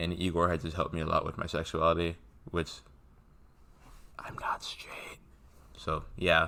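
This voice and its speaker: Long, frequent pauses break up a bright, sharp tone delivered at a moderate pace in a monotone, flat intonation. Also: man, very deep, low pitch for a man. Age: young. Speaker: music fan vlogger. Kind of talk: casual monologue vlog.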